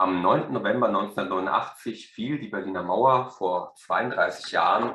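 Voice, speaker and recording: Here a man is speaking. He keeps a moderate pace. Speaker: museum researcher. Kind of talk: museum video introduction.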